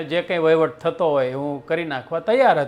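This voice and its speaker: This man has a normal speaking voice, pitched fairly high. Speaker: storyteller. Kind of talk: storytelling narration.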